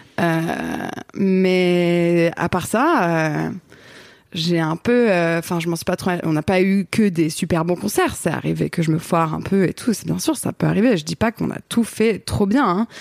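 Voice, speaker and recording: A woman speaks at a fairly slow pace in an ordinary speaking voice, fairly low in pitch with ordinary pitch variation. The recording is very clean, with a silent background and a dry, close sound with no echo. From Paris region, France. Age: 30s. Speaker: photographer, director and singer. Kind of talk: casual chat.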